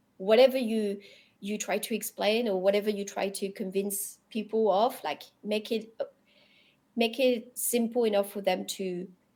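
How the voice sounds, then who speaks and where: The voice has a dark, mellow tone and a French accent. Its intonation is fairly even. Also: woman, fairly high pitch for a woman, moderate pace. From Europe, French-speaking. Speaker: crypto industry professional. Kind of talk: podcast interview. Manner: halting, many repetitions.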